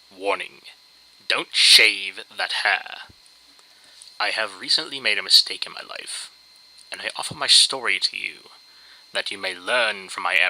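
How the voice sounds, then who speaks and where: At a moderate pace with ordinary pitch variation, the voice shows big swings in loudness against noticeable background noise. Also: man, fairly low pitch for a man. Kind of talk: dramatic reading of a humorous internet story. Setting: low-quality home microphone.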